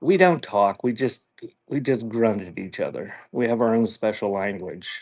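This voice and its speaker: A man with a Pennsylvania accent, medium pitch and a moderate pace. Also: lively intonation, quiet background. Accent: Pennsylvania American. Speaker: online antiques seller. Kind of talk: live auction stream. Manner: says she has a speech impediment, mispronounces words.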